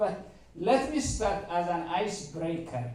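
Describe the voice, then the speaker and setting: With a strong Eritrean accent, a man speaks at a high pitch and lively intonation, over noticeable background noise and audible room echo. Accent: heavy Eritrean. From Eritrea (Asmara). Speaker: mathematician, workshop speaker. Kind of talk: seminar talk to audience.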